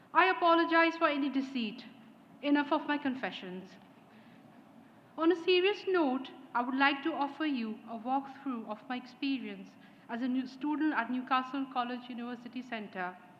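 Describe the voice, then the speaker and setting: Audible room echo surrounds a woman speaking at a high pitch and a moderate pace, her pitch varying in an ordinary way. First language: not English. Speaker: graduating student speaker. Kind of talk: graduation speech. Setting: ceremony hall with audience. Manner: formal.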